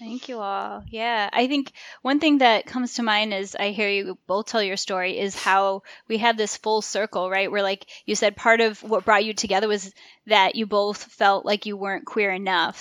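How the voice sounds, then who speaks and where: Recorded very cleanly against a silent background, a woman with a normal speaking voice talks at a moderate pace in a medium pitch with fairly even intonation. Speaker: podcast host. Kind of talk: interview hosting.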